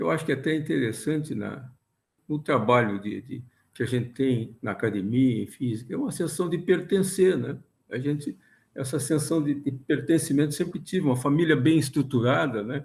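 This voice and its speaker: A man speaks at a moderate pace in a somewhat breathy voice, fairly high in pitch, with ordinary pitch variation. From southern Brazil, Rio Grande do Sul (São Borja, Porto Alegre). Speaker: physics professor. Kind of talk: interview. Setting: video call. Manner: halting.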